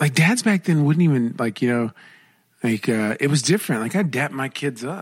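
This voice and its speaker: A man with a medium pitch speaks at a moderate pace. His intonation is lively. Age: 30s. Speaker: podcast co-host. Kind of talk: casual chat. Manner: halting.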